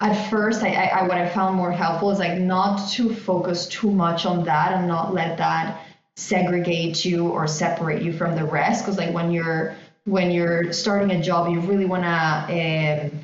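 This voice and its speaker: A woman with a non-native accent speaks at a moderate pace in a fairly low, monotone voice of very even loudness, with audible room echo and music in the background. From outside the US. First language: not English. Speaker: fintech partnerships director. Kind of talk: podcast interview.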